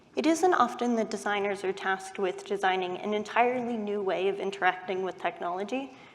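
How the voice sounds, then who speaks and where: A woman's medium-pitched voice with an American accent, fairly quick with hardly any pauses, ordinary pitch variation, and noticeable background noise. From US West Coast, Silicon Valley. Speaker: UX researcher. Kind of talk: conference talk.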